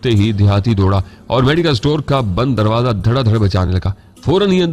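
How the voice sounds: Lively intonation colors this natural reading voice.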